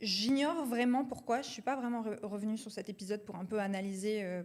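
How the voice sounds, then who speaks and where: Speaking at a fairly quick pace, a woman uses a normal speaking voice at a medium pitch. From France, Marseille. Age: 20s. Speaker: entrepreneur, company co-founder. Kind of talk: casual interview chat.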